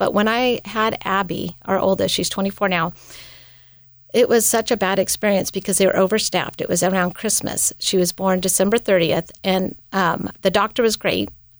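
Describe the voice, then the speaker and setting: In a very clean recording with a silent background, a woman with an American accent and medium pitch speaks at a moderate pace with fairly even intonation. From US West Coast, California. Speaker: missionary. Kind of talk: casual interview chat. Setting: studio.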